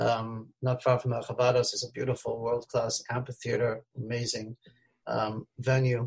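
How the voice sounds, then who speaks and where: Somewhat breathy voice at a moderate pace, with monotone, flat intonation. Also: man, medium pitch for a man. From Australia, Melbourne. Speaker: rabbi and singer-songwriter. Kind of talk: interview. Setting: video call.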